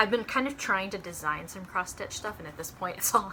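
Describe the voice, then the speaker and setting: Fairly quick female speech at medium pitch with ordinary pitch variation and noticeable background noise. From North Texas (Dallas-Fort Worth area). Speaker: shop co-owner and cross-stitch video host. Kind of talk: casual chat.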